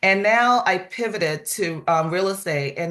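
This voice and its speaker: A woman speaks in a normal speaking voice. She keeps a moderate pace with ordinary pitch variation. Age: 60s. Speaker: real estate office manager. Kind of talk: testimony.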